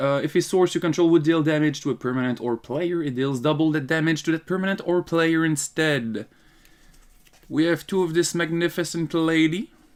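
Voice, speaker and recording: This man speaks in a Quebec accent. His pitch is fairly high, with ordinary pitch variation. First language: French. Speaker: card game youtuber. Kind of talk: casual tutorial. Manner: casual, halting.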